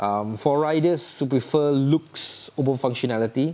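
A man of medium pitch speaks with a Singaporean accent in a dark, mellow tone with ordinary pitch variation. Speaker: motorcycle vlogger. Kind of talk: vehicle review vlog. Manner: animated.

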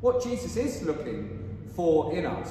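A man amid strong room echo and light background noise. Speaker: priest. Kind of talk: liturgy and sermon. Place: church. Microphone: camera far.

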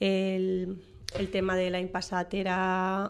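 A woman with a Valencian accent talks at a medium pitch. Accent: Valencian Catalan. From Valencia region, Spain. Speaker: writer and teacher; teacher. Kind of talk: radio interview. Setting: radio studio. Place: studio.

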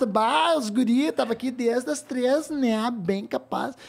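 A drawling, high-pitched female-sounding put-on character voice at a fairly slow pace

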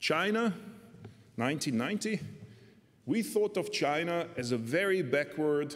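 A man talks with a Hungarian accent. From Hungary. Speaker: economist and political scientist; speaker. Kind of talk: academic discussant commentary. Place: hall. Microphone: podium.

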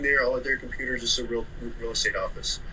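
A man speaks with an American accent over light background noise. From Oklahoma City. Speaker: moving company owner, former Marine. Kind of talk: casual interview chat. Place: home room. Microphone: video call.

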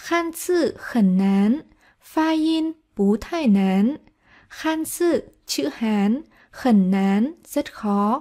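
A dark, mellow tone at a very slow pace, with very wide pitch swings, in a very clean recording with a silent background. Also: woman, high pitch for a woman. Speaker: Chinese language teacher. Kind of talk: tutorial.

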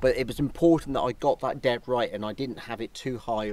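Recorded with a dry sound and no echo, a man speaks at a fairly quick pace. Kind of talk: casual vlog chat. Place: open country.

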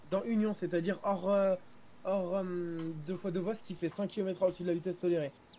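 There is a high-pitched man speaking here. His intonation is monotone and flat. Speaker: gaming roleplay teammate playing a police officer. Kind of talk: casual gaming roleplay chat. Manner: fast.

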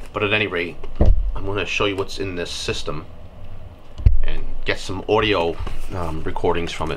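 Noticeable background noise surrounds a man speaking. His voice is very deep and low, at a fairly quick pace. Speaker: product reviewer. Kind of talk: unboxing tutorial. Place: workshop.

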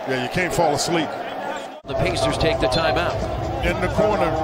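The recording carries loud background noise and a dry sound with no echo. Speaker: play-by-play commentator. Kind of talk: live basketball play-by-play commentary, broadcast highlight clip. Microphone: headset.

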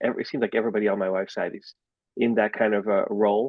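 A man with a Dutch accent speaks at a fairly low pitch with fairly even intonation. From Netherlands. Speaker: school board candidate. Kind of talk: campaign introduction. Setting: video call. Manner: hesitant.

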